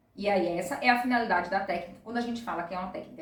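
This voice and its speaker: There is audible room echo as a woman talks at a very fast pace with lively intonation. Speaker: presentation skills instructor. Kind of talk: tutorial.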